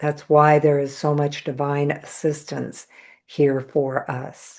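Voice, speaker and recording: Against a quiet background, the speech unfolds at a very slow pace. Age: 60s. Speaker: reiki teacher and spiritual channeler. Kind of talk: live Q&A podcast answering questions. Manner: conversational with many fillers and repetitions.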